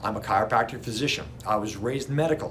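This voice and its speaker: A man talks at a very fast pace with ordinary pitch variation, and audible room echo surrounds his voice. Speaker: chiropractor. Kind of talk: educational talk to camera.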